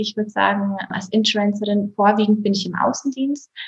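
Somewhat breathy, a woman's voice sits fairly high in pitch. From Bavaria, Berchtesgadener Land. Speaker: insurance agent. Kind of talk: interview.

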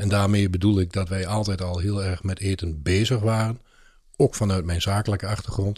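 A somewhat breathy man with a fairly low pitch, fairly even intonation and a moderate pace, on a very clean recording with a silent background. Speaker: podcast co-host and lunchroom owner. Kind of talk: casual chat. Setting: studio.

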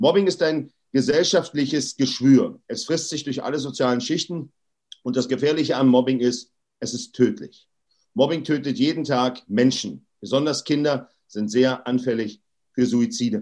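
Here a man speaks at a fairly high pitch and a moderate pace. The recording is very clean with a silent background. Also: lively intonation. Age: 40s. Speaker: anti-bullying activist. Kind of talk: interview. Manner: emphatic.

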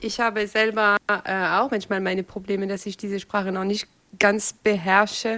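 In a monotone, flat intonation, a woman with a medium pitch and a bright, sharp tone speaks at a moderate pace. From France. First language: French (speaking German). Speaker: interview moderator. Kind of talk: interview.

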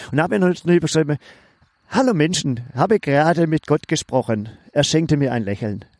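With a dry, close sound and no echo, a man with an ordinary speaking voice and fairly high pitch talks at a fairly quick pace. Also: lively intonation, very clean recording, silent background. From Swabia. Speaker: podcast co-host. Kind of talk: casual chat.

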